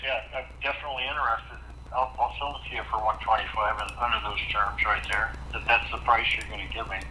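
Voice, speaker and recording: Noticeable background noise and audible room echo around a man's fairly quick speech. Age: 80s+. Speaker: property owner selling a house. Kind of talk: phone negotiation.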